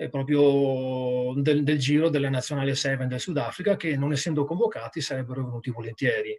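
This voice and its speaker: This is a plain, everyday voice from a man with a fairly high pitch and ordinary pitch variation. The background is quiet. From Treviso, Italy; Italy. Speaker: rugby sports director, former player; guest. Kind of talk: casual interview. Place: home room. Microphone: video call.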